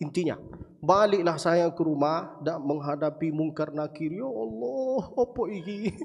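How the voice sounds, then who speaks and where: A man's fairly high-pitched voice with lively intonation, over noticeable background noise. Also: fairly slow pace. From Saudi Arabia, Mecca. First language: Arabic (speaking Indonesian). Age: 20s. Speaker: preacher. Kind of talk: sermon. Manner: animated.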